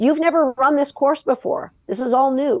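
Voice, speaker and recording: The sound is dry and close with no echo, over a quiet background. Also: woman. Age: 60s. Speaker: agility dog trainer. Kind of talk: podcast interview conversation.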